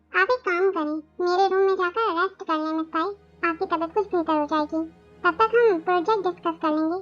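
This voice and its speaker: A woman does a put-on character voice at a very fast pace. Faint music plays in the background. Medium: fan dub. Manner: calm, smooth, commanding.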